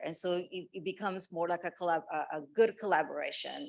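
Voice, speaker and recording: Over a quiet background, a woman speaks at a fairly low pitch. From outside the US. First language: not English. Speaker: pharmaceutical scientist. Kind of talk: panel discussion.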